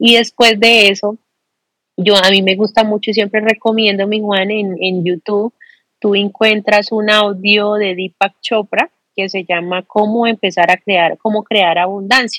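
A woman speaks at a fairly slow pace in a monotone, flat intonation, her tone bright and sharp. The sound is dry and close with no echo. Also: medium pitch for a woman. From Colombia, Bucaramanga. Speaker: business and life coach. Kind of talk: interview conversation.

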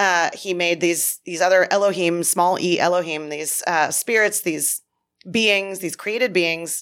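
An unremarkable speaking voice from a woman, medium in pitch, at a fairly slow pace, on a very clean recording with a silent background. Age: 40s. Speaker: podcast host, ministry director. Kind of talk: casual chat; read-out appeal. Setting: studio.

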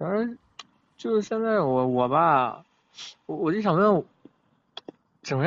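Very wide pitch swings at a moderate pace. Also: man. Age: 20s. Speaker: food delivery rider. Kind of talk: call-in advice chat.

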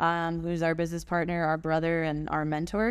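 A woman with a plain, everyday voice, fairly low in pitch and fairly quick in pace, in a very clean recording with a silent background. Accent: American. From USA (moved from Germany at eight). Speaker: professional dancer. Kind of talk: interview.

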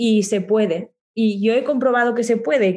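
A woman speaks with ordinary pitch variation. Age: 20s. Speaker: communication coach and singer-songwriter. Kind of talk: interview.

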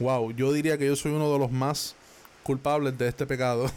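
With a Puerto Rican accent, the speaker talks at a moderate pace in a monotone, flat intonation. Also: man. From Puerto Rico. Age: 20s. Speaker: podcaster. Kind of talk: motivational monologue. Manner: casual, conversational.

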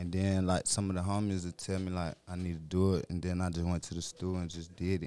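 In a very clean recording with a silent background, the voice moves at a fairly quick pace with an American accent and monotone, flat intonation. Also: man. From Petersburg, Virginia. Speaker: rapper. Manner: laid back.

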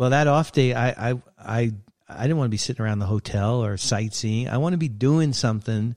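Speaking at a fairly quick pace with an American accent, a man has a normal speaking voice, medium pitch, and ordinary pitch variation. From Brooklyn, New York. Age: 60s. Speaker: sports photographer. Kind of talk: casual interview.

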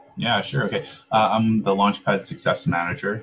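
A man speaks with a Canadian accent over noticeable background noise. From Langley, British Columbia, Canada. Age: 30s. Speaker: crypto business development manager. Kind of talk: casual interview.

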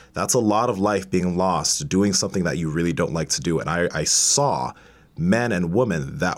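At a moderate pace, a man with a very deep, low pitch uses lively intonation and vocal fry. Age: 20s. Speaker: bodybuilder and powerlifter, online fitness coach. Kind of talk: casual interview chat. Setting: studio.

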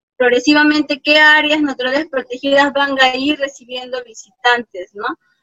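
A woman uses a raised, projected voice with a bright, sharp tone and high pitch. She speaks at a fairly slow pace, with a dry, close sound and no echo. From Peru, Apurímac (Abancay, rural highlands). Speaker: park ranger and ecotourism engineer. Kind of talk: interview.

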